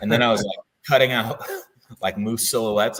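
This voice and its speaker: Quick-ish and bright, a man with an American accent speaks at a fairly quick pace in a sharp tone. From US Midwest. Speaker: Marine veteran and knife company owner. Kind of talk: interview. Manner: casual, filler-heavy.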